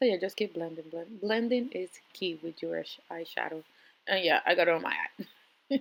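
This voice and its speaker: Speaking fairly quickly with a non-native accent, a woman leaves long, frequent pauses, her pitch varying in an ordinary way and her loudness swinging widely. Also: medium pitch for a woman. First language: not English. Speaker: makeup artist vlogger. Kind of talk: makeup tutorial. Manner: casual, hesitant with fillers.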